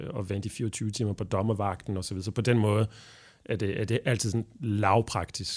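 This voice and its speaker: Fairly low in pitch, a man with a French accent talks at a fairly slow pace with fairly even intonation. The recording is very clean, the background silent. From Belgium. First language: French (speaking Danish). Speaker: translator and interpreter. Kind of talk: interview. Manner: halting.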